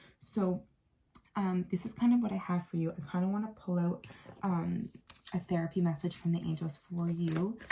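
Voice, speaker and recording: A woman speaks with a fairly low pitch and a dark, mellow tone. Her voice is somewhat breathy, her intonation fairly even. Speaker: tarot reader. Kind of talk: tarot reading monologue. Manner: fast; hesitant, many fillers.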